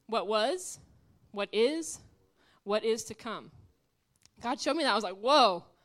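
A woman speaks with lively intonation. She leaves long, frequent pauses. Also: fairly high pitch for a woman, fairly slow pace. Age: 20s. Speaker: guest preacher. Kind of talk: sermon. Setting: church. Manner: loud.

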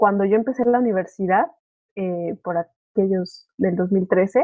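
A woman speaks with a Mexican accent. Her pitch is fairly high. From Mexico. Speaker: au pair and master's student. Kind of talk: casual chat. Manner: halting, many repeated words.

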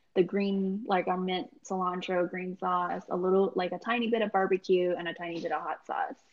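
Speaking fairly quickly with hardly any pauses, a woman has an ordinary speaking voice at a medium pitch with fairly even intonation. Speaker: food truck business founder, financial analyst. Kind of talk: interview.

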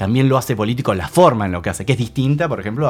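A man speaks with a Rioplatense accent. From Argentina, La Plata. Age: 30s. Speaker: rock musician. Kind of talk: casual chat. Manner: emphatic.

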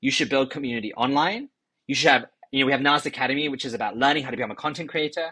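In a London accent, a man with a fairly high pitch and a bright, sharp tone talks at a very fast pace with ordinary pitch variation against a quiet background. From London, England. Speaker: tech company executive. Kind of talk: interview.

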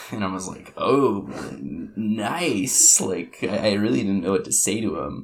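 A man with a fairly low voice speaks at a fairly slow pace with hardly any pauses. Audible room echo and noticeable background noise surround him. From Alaska (Kodiak Island). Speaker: university student. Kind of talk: casual chat.

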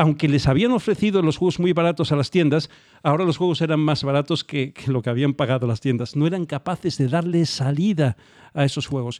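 A man's plain, everyday voice, fairly high in pitch and fairly quick in pace, with a quiet background and a dry, close sound with no echo. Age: 40s. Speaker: podcast co-host. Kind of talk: casual chat.

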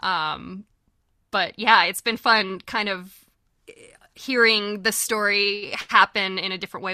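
A woman with a Californian accent speaks at a fairly slow pace in a medium-pitched, bright, sharp voice, in a very clean recording with a silent background and a dry, close sound with no echo. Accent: General American (Californian). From California, near Yosemite. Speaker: voice actress. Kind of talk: casual chat.

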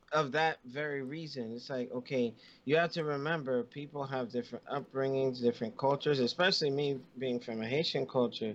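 In an unremarkable speaking voice, the speaker talks at a moderate pace with ordinary pitch variation against a quiet background. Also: man. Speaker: podcast co-host. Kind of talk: casual chat.

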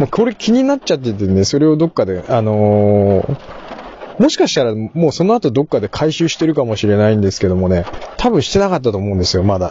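Amid noticeable background noise, a man speaks at a very fast pace, his medium-pitched voice making very wide pitch swings. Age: middle-aged. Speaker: podcast host. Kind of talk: casual monologue. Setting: in a car.

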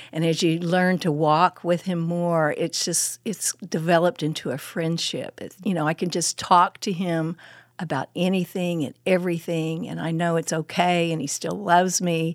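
A woman with an Oklahoma accent, fairly low in pitch, at a moderate pace with hardly any pauses and fairly even intonation. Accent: Oklahoma Southern US. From Oklahoma, Muskogee and Midwest City. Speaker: women's ministry speaker, former pastor. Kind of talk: casual interview with teaching. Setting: studio.

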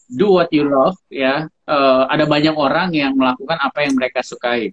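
A man with a fairly high voice talks at a very fast pace. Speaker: co-host. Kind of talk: casual chat. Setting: video call.

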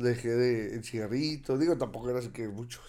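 In a dark, mellow tone, a man talks at a medium pitch. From Torreón, Coahuila, northern Mexico. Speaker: former professional boxer. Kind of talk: interview.

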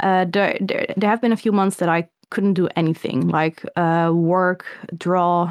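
A woman's medium-pitched voice in a Dutch accent, very slow, with fairly even intonation and very even loudness. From Netherlands. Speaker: illustrator and comic artist. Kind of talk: interview.

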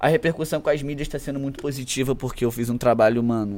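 Fairly quick and fairly even in intonation, the man talks in an unremarkable speaking voice. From Brazil, Macaé (Rio de Janeiro state). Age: 20s. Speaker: rapper. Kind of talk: casual chat.

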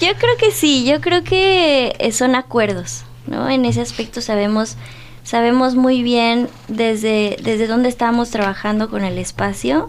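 The delivery comes at a fairly slow pace. Noticeable background noise sits behind it. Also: woman. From Dolores Hidalgo, Guanajuato, Mexico. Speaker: visual artist. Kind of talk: radio interview. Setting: radio studio.

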